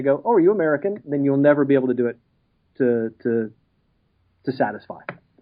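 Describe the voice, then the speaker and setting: A man with a Texas accent speaks at a very fast pace, his fairly high voice full of lively intonation. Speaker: actor. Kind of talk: interview.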